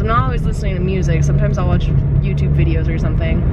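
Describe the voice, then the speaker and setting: A woman is heard in a dry sound with no echo, over loud background noise. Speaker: vlogger. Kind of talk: casual vlog chat. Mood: annoyed ranting. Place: car. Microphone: phone near.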